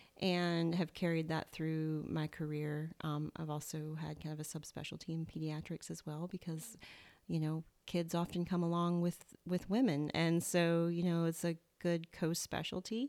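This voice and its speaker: A woman's fairly low, dark, mellow voice in a Southern US accent, with monotone, flat intonation. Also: moderate pace. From US South. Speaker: naturopathic doctor. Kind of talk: casual interview chat. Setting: in-person at host's home.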